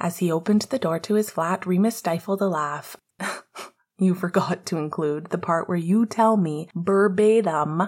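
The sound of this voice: An unforced reading voice with ordinary pitch variation is heard over a quiet background.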